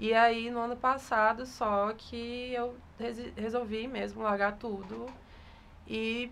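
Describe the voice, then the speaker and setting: Fairly high female voice echoing audibly in the room. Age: 20s. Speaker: photographer. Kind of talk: interview.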